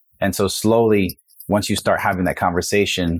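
A man talks at a very fast pace with fairly even intonation, recorded very cleanly against a silent background. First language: Spanish. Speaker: career center director and coach. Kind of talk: casual interview conversation.

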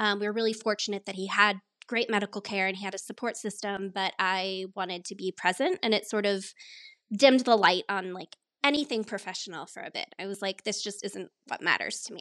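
A woman with an unremarkable speaking voice talks in a General American accent at a fairly quick pace, her intonation fairly even but her loudness swinging widely. The recording is very clean, with a silent background and a dry, close sound with no echo. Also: medium pitch for a woman. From Colorado. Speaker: marketing professional, former musical theater performer. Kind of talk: interview.

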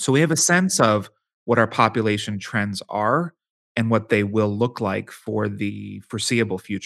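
A plain, everyday voice with an American accent talks at a moderate pace with ordinary pitch variation. The recording is very clean, the background silent. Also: man, fairly low pitch for a man. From Pittsburgh, Pennsylvania. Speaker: demographic futurist and author. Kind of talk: interview.

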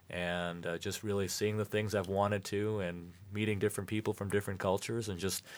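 Speaking with an American accent, a man of fairly low pitch holds a monotone, flat intonation on a very clean recording with a silent background. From Michigan. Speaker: former mayor. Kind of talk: radio interview.

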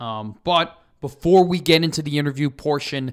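A normal speaking voice with an American accent and ordinary pitch variation, in a very clean recording with a silent background. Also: man. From Chicago, US Midwest. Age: 20s. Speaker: student podcast host, sports. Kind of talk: casual sports podcast.

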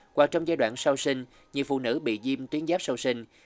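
Here is a man with an ordinary speaking voice at medium pitch and ordinary pitch variation, at a moderate pace. The sound is dry and close, with no echo. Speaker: radio host. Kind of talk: scripted narration. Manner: formal.

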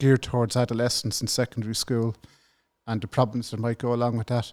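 Recorded very cleanly against a silent background, a man with a Dublin accent talks at medium pitch in a dry, close sound with no echo. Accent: Dublin Irish. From Ireland, north Dublin. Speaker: government whistleblower. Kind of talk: interview.

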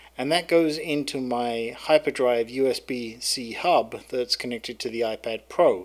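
Delivered at a moderate pace, this voice shows ordinary pitch variation. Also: man. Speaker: podcaster. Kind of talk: solo tech tutorial monologue. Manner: casual, frequent fillers.

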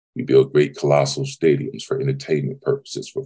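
A man talks at a moderate pace. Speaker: mentor giving talk. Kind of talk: motivational talk. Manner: preachy, emphatic, formal.

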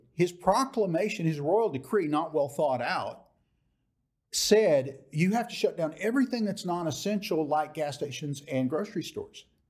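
A man speaks with an American accent in a high pitch. His pace is moderate and his intonation lively. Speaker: author and political activist. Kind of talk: interview. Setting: studio.

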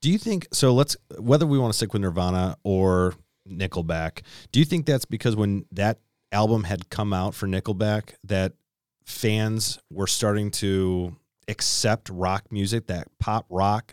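A man with an American accent speaks in a plain, everyday voice, fairly low in pitch with ordinary variation, at a fairly slow pace, on a very clean, dry, close recording with a silent background and no echo. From Chicago. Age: 30s. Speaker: podcast co-host. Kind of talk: casual chat.

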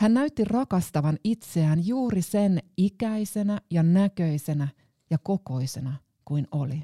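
Dark and mellow in tone, the voice moves at a very slow pace with very wide pitch swings, recorded very cleanly over a silent background with a dry, close sound and no echo. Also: woman, fairly low pitch for a woman. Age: 40s. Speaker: pastor. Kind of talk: scripted narration. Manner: reflective.

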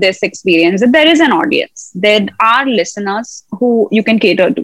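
A woman with a plain, everyday voice, fairly high in pitch, at a fairly slow pace. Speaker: singer-songwriter. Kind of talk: casual interview chat.

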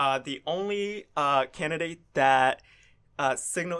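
On a very clean recording with a silent background, a man with an American accent speaks fairly slowly with ordinary pitch variation in an ordinary speaking voice. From US South. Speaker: student news reporter. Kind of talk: interview. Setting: studio.

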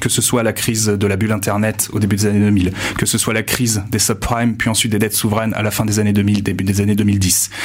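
A man's fairly low, monotone voice at a very fast pace, with flat intonation, very even loudness and noticeable background noise. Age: 20s. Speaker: university staff member. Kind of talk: interview.

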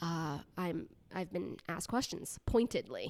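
A woman in an ordinary speaking voice, medium pitch, fairly slow pace, on a very clean recording with a silent background. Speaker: psychologist. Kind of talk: casual chat.

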